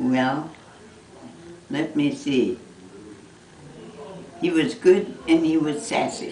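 A woman with a very deep, low pitch speaks very slowly, with lively intonation and long, frequent pauses. Light background noise and audible room echo are present. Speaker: mother recalling her son's childhood. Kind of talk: casual family conversation, reminiscing. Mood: fond, amused nostalgia. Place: home room.

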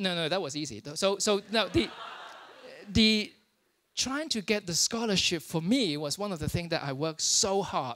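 A man talks at a moderate pace with lively intonation. His pitch is high and his tone fairly bright.

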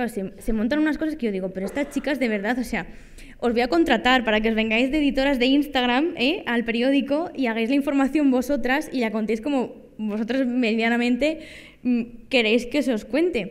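A woman's high-pitched voice at a fairly quick pace, with ordinary pitch variation and a quiet background. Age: 20s. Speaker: data journalist and lecturer; data journalist, lecturer. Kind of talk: workshop talk. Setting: conference room with audience. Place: hall. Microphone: podium.

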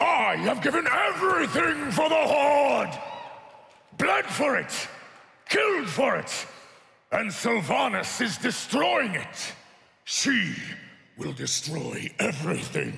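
Using a put-on character voice at an extremely high pitch, a man talks fairly slowly with long, frequent pauses and clear echo. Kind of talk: live staged reading of game cinematic. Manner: defiant, impassioned, shouting.

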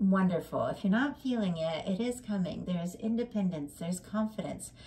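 Over noticeable background noise, a woman with a medium pitch talks at a moderate pace with lively intonation. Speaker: tarot reader. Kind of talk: tarot reading monologue. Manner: rambling, self-correcting.

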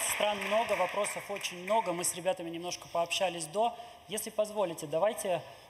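This man talks at a fairly quick pace with a high pitch and fairly even intonation. Background noise is noticeable. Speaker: event moderator. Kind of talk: moderating a public Q&A. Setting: hall with live audience. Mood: friendly, light laughter. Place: hall. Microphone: podium.

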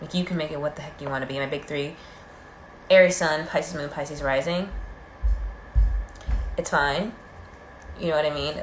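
Long, frequent pauses break up the speech over light background noise. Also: woman, very deep, low pitch for a woman. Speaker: livestreamer doing makeup. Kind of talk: casual live stream chat. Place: home room. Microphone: phone near.

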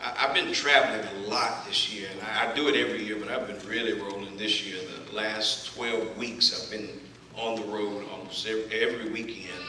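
A man's fairly low voice in a Southern US accent, at a moderate pace with fairly even intonation, amid audible room echo and light background noise. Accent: Southern twang. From Texas. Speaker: preacher delivering a sermon. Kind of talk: sermon introduction. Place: church. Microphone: camera far.

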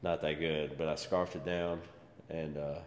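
With audible room echo and light background noise, a man talks at a moderate pace. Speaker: fitness vlogger. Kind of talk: casual vlog chat. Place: gym. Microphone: camera far.

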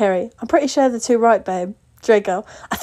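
Here the reading aloud is done in a natural voice.

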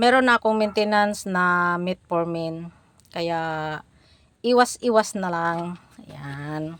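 A woman's fairly low voice at a very slow pace, with ordinary pitch variation and long, frequent pauses. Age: old. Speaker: vlogger. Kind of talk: casual vlog talk.

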